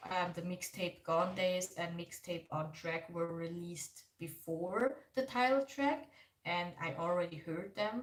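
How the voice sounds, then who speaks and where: A woman's somewhat breathy, fairly low voice with a German accent, at a fairly slow pace with ordinary pitch variation. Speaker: K-pop reaction YouTuber. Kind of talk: livestream reaction chat. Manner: casual, filler-heavy.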